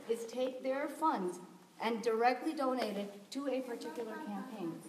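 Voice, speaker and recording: Lively intonation and a fairly quick pace come with an American accent, amid audible room echo and noticeable background noise. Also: woman. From US South, Tennessee. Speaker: community volunteer. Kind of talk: community meeting discussion.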